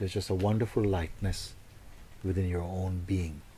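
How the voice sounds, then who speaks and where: A man's fairly low, somewhat breathy voice with a dark, mellow tone. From Jamaica. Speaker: spiritual teacher. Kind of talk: spiritual talk to audience.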